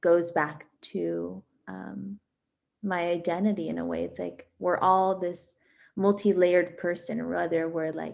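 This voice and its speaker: A very slow delivery in a Miami accent, with big swings in loudness against a quiet background. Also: woman. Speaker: exhibiting artist. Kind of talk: artist talk presenting own work.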